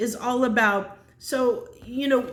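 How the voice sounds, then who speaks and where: Audible echo fills the room. Pitch moves with ordinary variation. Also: woman. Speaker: tarot reader. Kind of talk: tarot reading monologue. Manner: halting, many fillers and restarts.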